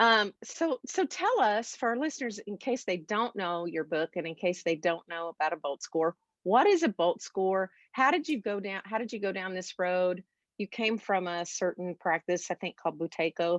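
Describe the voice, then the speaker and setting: A woman with an American accent talks in an unremarkable speaking voice at a medium pitch, moderate pace and lively intonation. The sound is dry and close with no echo, over a quiet background. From United States. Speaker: podcast host, voice teacher and singer. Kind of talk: podcast interview.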